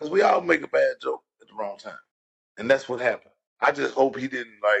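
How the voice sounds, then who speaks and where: A man with a Louisiana accent, fairly quick, with big swings in loudness and a dry, close sound with no echo. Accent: Louisiana, southern US. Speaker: podcast co-host. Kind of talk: casual chat.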